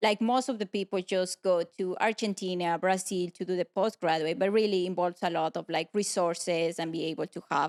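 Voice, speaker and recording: With a Spanish accent, a woman talks at a fairly quick pace and fairly even intonation, the sound dry and close with no echo. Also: medium pitch for a woman, hardly any pauses. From Ecuador, small town. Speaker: pulmonary and critical care physician. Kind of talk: interview, casual. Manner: halting, many fillers.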